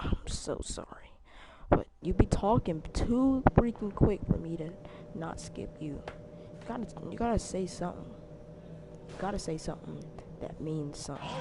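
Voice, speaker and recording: Whispering at a moderate pace, with long, frequent pauses. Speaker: gamer streaming gameplay. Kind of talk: casual gameplay commentary. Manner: quiet.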